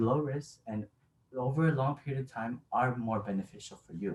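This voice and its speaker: A man speaks in a somewhat breathy voice. His pace is fairly slow. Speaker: college student. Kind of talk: informative class speech.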